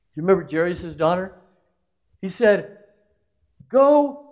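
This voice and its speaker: The speaker is a man with an animated tone. Audible room echo surrounds his voice. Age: 60s. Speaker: pastor. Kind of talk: sermon. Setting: church.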